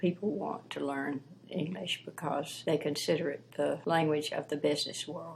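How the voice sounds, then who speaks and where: The speaker talks at a moderate pace with a Southern US accent. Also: woman. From US South, Piedmont of South Carolina. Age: old. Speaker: retired teacher and former missionary. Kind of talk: interview. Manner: halting.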